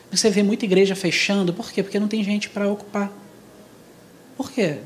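Against noticeable background noise, a man talks at a high pitch. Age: 40s. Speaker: church speaker. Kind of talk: church talk on youth.

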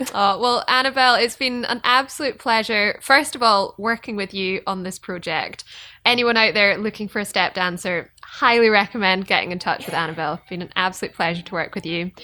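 With a Scottish accent and a bright, sharp tone, the voice moves at a fairly quick pace with hardly any pauses, big swings in loudness, and ordinary pitch variation. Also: woman, medium pitch for a woman. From Scotland. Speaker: fiddle player and podcast host. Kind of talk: casual interview.

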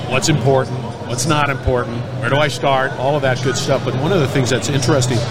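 Over noticeable background noise and audible room echo, a man talks at a very fast pace in a medium pitch, keeping his loudness very even. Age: old. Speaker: industry podcast host. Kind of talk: casual interview. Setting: trade show floor. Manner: animated.

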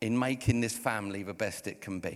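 A fairly quick delivery in an English accent, with ordinary pitch variation, on a very clean recording against a silent background. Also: man. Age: 50s. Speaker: pastor. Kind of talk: sermon. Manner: animated.

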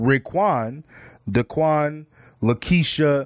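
Very slow speech with an American accent comes through on a very clean recording with a silent background. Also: man.

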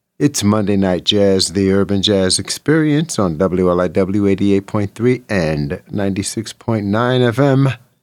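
A man's fairly low, relaxed voice with lively intonation, on a very clean recording with a silent background. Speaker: radio host. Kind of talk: radio DJ patter, warm late-night jazz show host. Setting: studio. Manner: relaxed, conversational, easygoing.

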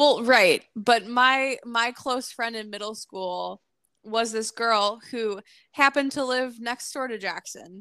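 Spoken at a very slow pace with an American accent, the voice has a bright, sharp tone and big swings in loudness, in a very clean recording with a silent background and a dry, close sound with no echo. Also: woman, fairly high pitch for a woman. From northwest Indiana, near Chicago. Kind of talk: casual chat.

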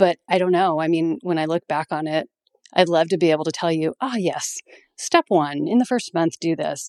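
A woman with a normal speaking voice and fairly low pitch talks at a moderate pace with ordinary pitch variation, in a dry, close sound with no echo. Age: 50s. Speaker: veterinarian and practice owner. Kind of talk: interview.

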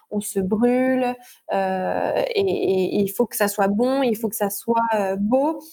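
This woman has a fairly high pitch, a dark, mellow tone and ordinary pitch variation. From France, Normandy. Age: 20s. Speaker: chef. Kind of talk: interview. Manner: hesitant, many fillers and repetitions.

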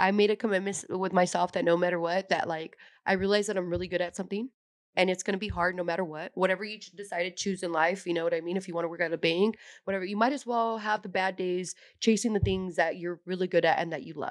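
Very fast talk from a woman with a Californian accent, medium in pitch, fairly even in intonation, over a quiet background. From San Jose, California. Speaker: professional fighter. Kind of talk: casual chat. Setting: studio.

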